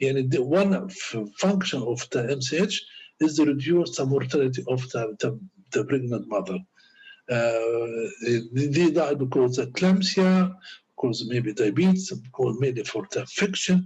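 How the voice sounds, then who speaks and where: A man with an Arabic accent speaks at a medium pitch and a moderate pace. His voice is somewhat breathy, and his intonation is lively. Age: 60s. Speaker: doctor and lecturer. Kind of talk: lecture. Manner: halting.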